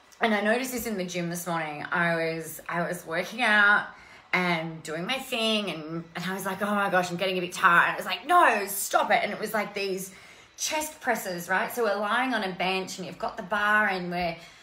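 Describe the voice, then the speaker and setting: Audible room echo surrounds this woman's voice. Her pitch varies in an ordinary way. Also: moderate pace. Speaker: coach hosting a live stream. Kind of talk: casual motivational live-stream chat. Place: home room. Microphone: earbuds.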